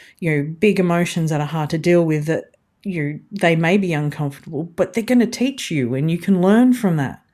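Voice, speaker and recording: A woman with an Australian accent and a fairly low pitch. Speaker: podcast host. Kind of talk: casual interview conversation.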